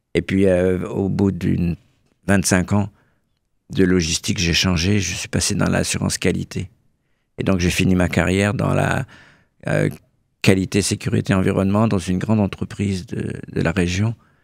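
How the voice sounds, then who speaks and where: A man with a very deep, low voice speaks at a moderate pace with fairly even intonation and long, frequent pauses, in a very clean recording with a silent background. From Burgundy, France (Bresse). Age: 70s. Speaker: association president, retiree. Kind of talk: radio interview. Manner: hesitant, repeats words.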